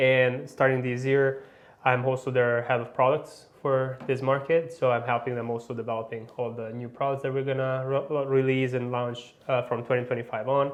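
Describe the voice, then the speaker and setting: Speaking at a medium pitch with an Italian accent, a man keeps a moderate pace with hardly any pauses and monotone, flat intonation. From Italy. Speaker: motorcycle industry manager, former racer. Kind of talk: interview. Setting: studio.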